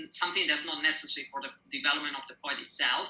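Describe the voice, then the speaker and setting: Here a woman talks with an Italian accent. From Italy. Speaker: poet. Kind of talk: interview. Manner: hesitant, with fillers.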